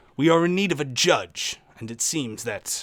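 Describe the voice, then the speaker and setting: On a very clean recording with a silent background, a man does a gruff, put-on character voice. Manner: polite, asking for help.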